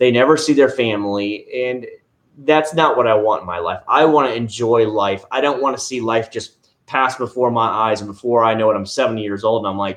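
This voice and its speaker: Over a quiet background, a man with an American accent talks at a fairly quick pace in an ordinary speaking voice, medium in pitch and with ordinary pitch variation. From Florida. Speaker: car care YouTuber. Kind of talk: livestream chat. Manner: casual, conversational.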